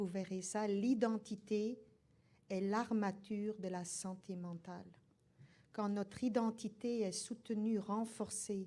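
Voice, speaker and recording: In a dark, mellow tone, a woman speaks fairly slowly with monotone, flat intonation. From Belgium. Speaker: nursing professor. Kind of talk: lecture.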